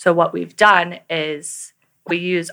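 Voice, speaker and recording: This woman's voice has a bright, sharp tone and a fairly low pitch. She speaks in a monotone with flat intonation over a very clean recording and a silent background. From US South, New Orleans. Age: 20s. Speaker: healthcare tech founder. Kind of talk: interview. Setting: studio.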